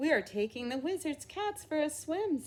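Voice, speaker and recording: A squeaky, high-pitched put-on character voice moves along at a moderate pace. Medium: read story. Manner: earnest, eager.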